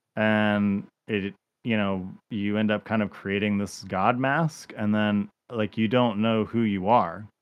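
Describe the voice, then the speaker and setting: A man with a normal speaking voice talks at a fairly slow pace. His pitch is fairly low and his intonation fairly even. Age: 40s. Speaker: former pastor and podcast host. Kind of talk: casual chat.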